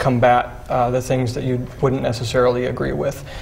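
A man talks at a fairly quick pace in a normal speaking voice. Light background noise sits behind him. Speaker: young conservative activist. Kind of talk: panel discussion. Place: studio.

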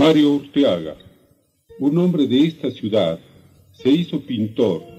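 With faint music in the background, a man talks at a fairly slow pace, his pitch swinging very widely. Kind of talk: documentary narration. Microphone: old recording.

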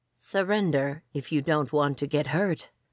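Someone uses a put-on character voice, growling at a low-to-middle pitch. The pace is moderate and the recording very clean, with a silent background. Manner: sinister, threatening.

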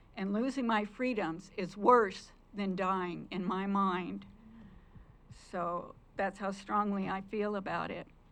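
Speaking at a very slow pace with long, frequent pauses, a woman holds a medium pitch and fairly even intonation. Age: 70s. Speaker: public commenter at county meeting. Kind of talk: public comment speech. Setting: county commissioners meeting room.

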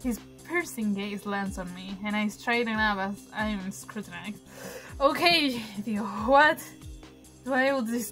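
Over faint music in the background, a woman talks at a fairly slow pace. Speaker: game streamer. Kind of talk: let's play commentary and reading game text aloud. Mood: playful, animated. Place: home room.

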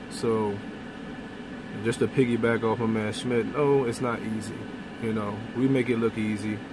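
Through noticeable background noise, a man speaks in a monotone, flat intonation, the sound dry with no echo. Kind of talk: casual vlog chat. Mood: earnest, slightly exasperated. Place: car. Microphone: phone near.

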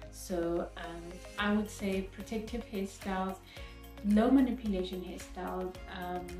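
A woman speaks at a fairly slow pace with long, frequent pauses. Audible room echo and faint music sit in the background. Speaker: natural hair vlogger. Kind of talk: casual talk to camera. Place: home room. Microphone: phone near.

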